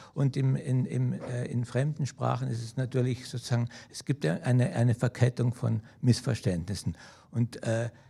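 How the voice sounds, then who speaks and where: A man's dark, mellow voice with vocal fry at a moderate pace on a very clean recording with a silent background. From South Tyrol or Germany. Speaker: poet. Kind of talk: artist talk at a festival. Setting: auditorium with audience. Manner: halting, many hesitations.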